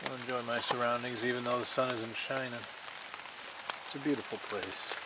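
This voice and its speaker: The voice is monotone and flat, moving at a fairly quick pace. Room echo is audible, along with noticeable background noise. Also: man, medium pitch for a man. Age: 50s. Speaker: camping vlogger. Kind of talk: casual vlog narration. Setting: outdoors.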